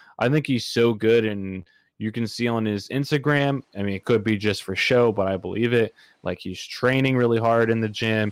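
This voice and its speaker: A man with a plain, everyday voice talks at a moderate pace. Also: medium pitch for a man. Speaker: podcast host. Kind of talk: casual chat. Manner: joking, upbeat.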